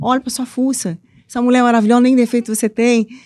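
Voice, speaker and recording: A woman with a Minas Gerais accent, fairly high pitch and a dark, mellow tone, at a fairly quick pace, in a dry, close sound with no echo and a very clean recording with a silent background. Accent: mineiro accent, noticeable. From Minas Gerais, Brazil (eastern region, Ipatinga). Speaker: author and women's mentor. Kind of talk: interview conversation. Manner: animated, playful.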